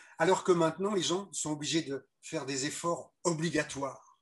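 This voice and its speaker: The voice belongs to a man and is somewhat breathy, with a fairly high pitch. He talks at a moderate pace. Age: 70s. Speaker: ecological lifestyle teacher. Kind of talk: interview. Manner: halting.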